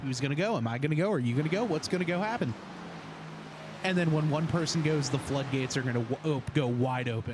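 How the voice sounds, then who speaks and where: Noticeable background noise sits behind a man's fairly high voice. He speaks fairly quickly with an American accent and ordinary pitch variation. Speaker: sim racing commentator. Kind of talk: live commentary. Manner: casual, filler-heavy.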